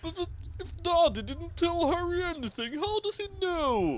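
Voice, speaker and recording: The speaker uses a put-on character voice at an extremely high pitch. The pace is moderate. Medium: read story. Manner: blustering.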